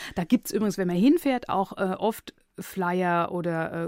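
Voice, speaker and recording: In a plain, everyday voice, a woman talks at a moderate pace with a fairly low pitch, captured on a very clean recording with a silent background. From Palatinate, Germany (Neustadt an der Weinstraße). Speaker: radio editor and author. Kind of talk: interview.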